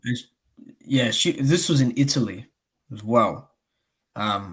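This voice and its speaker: A man speaks at a medium pitch with an Australian accent, his voice somewhat breathy. His loudness swings widely while his pitch varies in an ordinary way. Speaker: boxing YouTuber, live streamer. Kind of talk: casual chat. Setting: live stream. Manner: animated.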